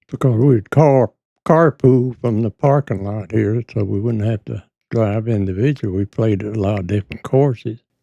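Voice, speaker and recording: Dry and close with no echo, a man's medium-pitched, dark, mellow voice carries an American accent at a moderate pace with ordinary pitch variation. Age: 90s. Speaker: war veteran. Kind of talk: interview. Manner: halting.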